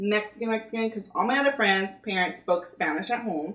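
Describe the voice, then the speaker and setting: Noticeable background noise surrounds a woman with a Californian accent and a fairly high pitch. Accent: Californian American English. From California, Gilroy. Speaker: video co-host. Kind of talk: casual chat. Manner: casual, filler-heavy.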